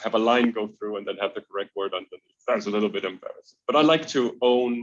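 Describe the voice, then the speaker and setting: The man's pitch is medium and his intonation fairly even. He talks at a very fast pace. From Denmark. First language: Danish. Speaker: extreme traveler. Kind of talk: interview. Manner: hesitant, many fillers and repetitions.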